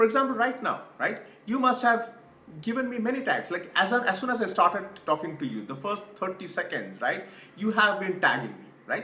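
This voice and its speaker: A raised, projected voice with a South Indian accent and lively intonation at a fairly quick pace, amid audible room echo and noticeable background noise. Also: man, high pitch for a man. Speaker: career coach. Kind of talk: online course presentation. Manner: repetitive filler 'right'.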